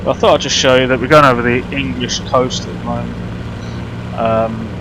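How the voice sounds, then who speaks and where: A man talks fairly quickly while the room echoes audibly and background noise is clearly present. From Birmingham, England. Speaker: flight simulator streamer. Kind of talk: live stream commentary. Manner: casual, halting with fillers.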